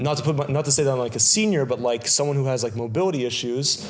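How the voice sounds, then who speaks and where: With a Montreal accent, a man speaks at a very fast pace in a medium pitch with ordinary pitch variation, amid noticeable background noise and audible room echo. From Quebec, Kirkland (Montreal West Island). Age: 20s. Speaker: municipal election candidate. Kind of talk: interview. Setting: video interview on camera. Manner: halting, many fillers.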